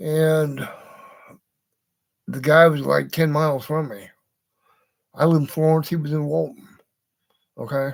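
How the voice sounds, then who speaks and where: A man talks at a moderate pace. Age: 60s. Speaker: vlogger, model hobbyist. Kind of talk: casual monologue. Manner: rambling, halting with fillers.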